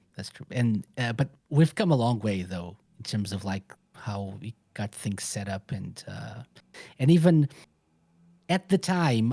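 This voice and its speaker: A fairly slow delivery with a non-native accent and long, frequent pauses, in a very clean recording with a silent background. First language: not English. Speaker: radio show host. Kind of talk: casual interview.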